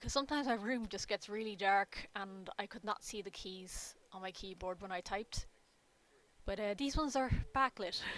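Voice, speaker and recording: Speaking at a moderate pace, a woman keeps a medium pitch with ordinary pitch variation. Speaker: artist live streamer. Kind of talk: casual live stream chat. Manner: halting, filler-heavy.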